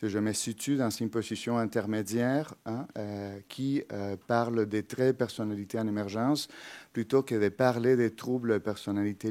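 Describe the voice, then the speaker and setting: With a Spanish accent, this voice has a dark, mellow tone, a moderate pace and fairly even intonation on a very clean recording with a silent background. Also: man. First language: Spanish (speaking French). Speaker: psychology professor. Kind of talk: lecture. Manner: halting, many filler hesitations.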